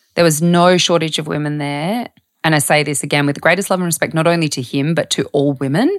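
In an Australian accent, a woman speaks at a very fast pace. Her pitch is very deep and low. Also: ordinary pitch variation. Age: 30s. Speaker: health journalist and author. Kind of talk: casual interview chat.

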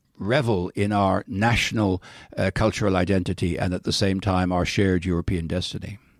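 With a Dublin accent and a fairly low pitch, a man speaks at a fairly quick pace. The very clean recording has a silent background and a dry, close sound with no echo. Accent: Irish, Dublin. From Ireland, Dublin. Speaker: diplomat. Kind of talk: interview. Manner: halting, many fillers.

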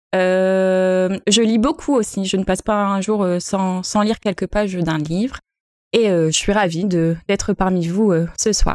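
This woman speaks at a very slow pace and medium pitch, with fairly even intonation and very even loudness. The recording is very clean, with a silent background. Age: 30s. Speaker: primary school teacher. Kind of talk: casual chat.

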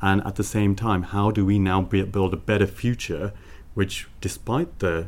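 In a Birmingham accent, a man speaks with a very deep, low pitch and vocal fry. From Birmingham, England. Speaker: marketing professional. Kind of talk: panel discussion.

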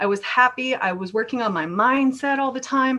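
With ordinary pitch variation, a woman talks in a high-pitched voice. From Norway. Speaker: entrepreneur. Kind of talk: casual interview.

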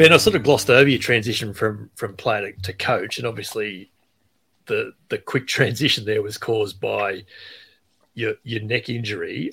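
A man with an Australian accent, medium pitch, a bright, sharp tone, ordinary pitch variation and a moderate pace. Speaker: podcast host. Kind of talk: casual interview chat with podcast intro.

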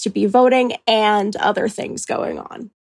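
This woman has a western Canadian accent, a fairly high pitch, and vocal fry. Her intonation stays fairly even, and the sound is dry and close with no echo. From Calgary, Alberta. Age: 20s. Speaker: university student. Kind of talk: interview.

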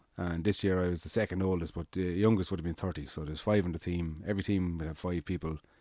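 A man with an Irish accent, a very deep, low pitch and a dark, mellow tone, at a very fast pace with hardly any pauses and fairly even intonation, on a very clean recording with a silent background. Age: 30s. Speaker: amateur cyclist. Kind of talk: casual chat.

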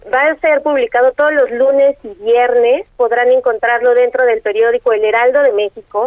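Noticeable background noise surrounds a woman speaking at a high pitch and a moderate pace, with fairly even intonation. Her loudness stays very even and she hardly pauses. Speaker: newspaper editor. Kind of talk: interview.

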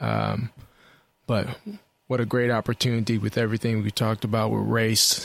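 The man's voice is pitched fairly low. He speaks in a monotone, flat way. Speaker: podcast co-host. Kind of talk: casual chat. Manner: halting.

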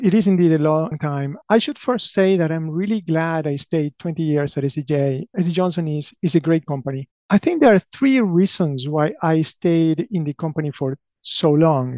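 A man with an Argentine accent speaks at a moderate pace in a fairly high pitch, with a dark, mellow tone, ordinary pitch variation, and a dry, close sound with no echo. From Argentina (Buenos Aires). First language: Spanish. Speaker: company president. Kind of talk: interview.

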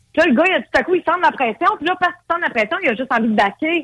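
The voice swings very widely in pitch. The sound is dry and close, with no echo. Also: woman. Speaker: dating service entrepreneur. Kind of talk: casual interview.

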